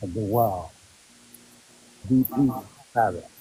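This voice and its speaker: A quiet man at medium pitch, fairly slow, with ordinary pitch variation and noticeable background noise. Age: 60s. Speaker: caller. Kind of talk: casual chat.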